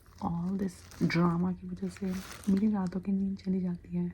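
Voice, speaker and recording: Soft-spoken, a woman talks through noticeable background noise. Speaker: ASMR roleplay creator. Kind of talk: ASMR roleplay, spiritual guide giving scalp massage.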